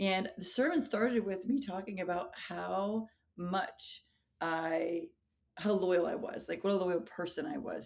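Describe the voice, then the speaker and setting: With vocal fry and a medium pitch, a woman speaks at a fairly slow pace. Her intonation is lively. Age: 40s. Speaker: high school English teacher and pastor. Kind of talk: interview conversation.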